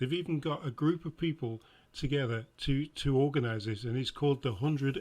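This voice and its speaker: This man has a Lancashire accent and a somewhat breathy, fairly high voice. He moves at a fairly quick pace with ordinary pitch variation. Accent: northern English, Blackpool. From England. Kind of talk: political reaction commentary.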